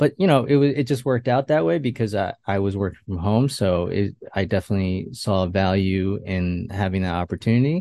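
A man with an American accent talks at a fairly quick pace with hardly any pauses, his fairly low, dark, mellow voice showing ordinary pitch variation in a dry, close sound with no echo and a quiet background. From Westchester, New York. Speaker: web designer and work-from-home dad. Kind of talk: interview conversation. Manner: halting, many fillers and restarts.

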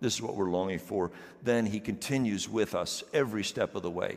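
This man has a normal speaking voice, a fairly low pitch and fairly even intonation, and he talks at a fairly quick pace. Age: 50s. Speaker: pastor. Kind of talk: sermon. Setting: church.

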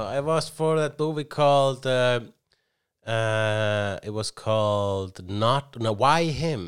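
A man speaks very slowly with an Icelandic accent and lively intonation. The recording is very clean, with a silent background. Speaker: comedian and podcast co-host. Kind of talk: casual chat. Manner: halting, many restarts.

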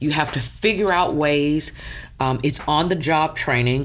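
Vocal fry marks a woman's voice pitched very deep and low. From US South, Houston area, Texas. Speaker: math and science teacher. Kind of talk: casual chat.

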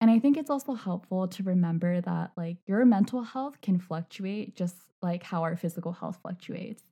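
A woman talks at a moderate pace with a medium pitch. Her tone is dark and mellow, and somewhat breathy. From China. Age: 20s. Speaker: podcast host and mental health blogger. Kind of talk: casual interview.

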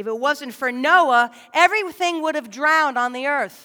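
A woman speaks at a fairly slow pace in a high, raised, projected voice with a bright, sharp tone and lively intonation. The recording is very clean, with a silent background. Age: 40s. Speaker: lay preacher. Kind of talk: sermon. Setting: church.

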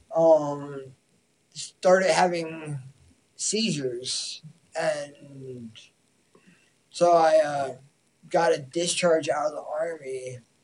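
The speaker talks at a very slow pace in an American accent. Long, frequent pauses break up the speech. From Massachusetts. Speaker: martial artist, army veteran. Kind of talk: casual chat.

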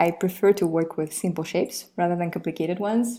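The recording is very clean with a silent background. A woman speaks in a fairly low, dark, mellow voice with ordinary pitch variation. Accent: Russian. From Russia. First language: Russian. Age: 20s. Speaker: illustrator. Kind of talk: interview.

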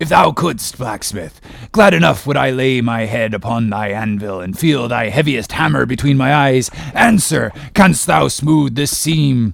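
This man uses a put-on character voice at a medium pitch. His pace is moderate. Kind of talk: classic novel audiobook reading. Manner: passionate, commanding, archaic speech.

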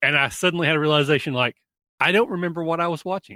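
Recorded very cleanly against a silent background, a man's voice comes across with a bright, sharp tone and a dry, close sound with no echo. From Kentucky. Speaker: convention organizer and podcaster. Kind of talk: casual chat.

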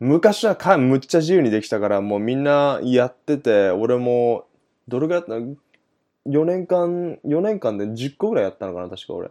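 A man with a dark, mellow tone and medium pitch talks at a moderate pace, with very wide pitch swings and big swings in loudness. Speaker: podcast host. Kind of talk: casual chat.

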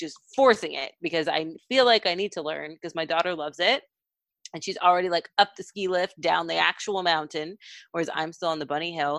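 In a plain, everyday voice, a woman with an American accent speaks at a fairly quick pace and fairly low pitch, her loudness swinging widely and her pitch variation ordinary, the sound dry and close with no echo. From Texas. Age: 30s. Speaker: mental health nonprofit research director. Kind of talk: casual chat.

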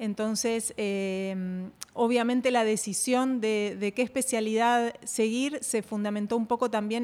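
Fairly even intonation carries this fairly slow delivery. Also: woman. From Argentina. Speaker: radiation oncologist and health coach. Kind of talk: interview.

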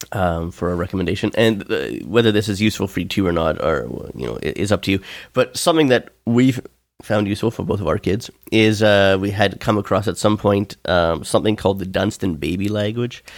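In an ordinary speaking voice, a man talks at a fairly quick pace and fairly low pitch with ordinary pitch variation, on a very clean recording, silent background. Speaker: podcast host.

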